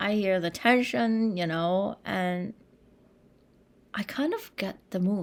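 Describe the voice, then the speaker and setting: A woman with a Chinese accent speaks at a medium pitch with ordinary pitch variation. The recording is very clean with a silent background. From China. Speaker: composer. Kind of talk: interview conversation.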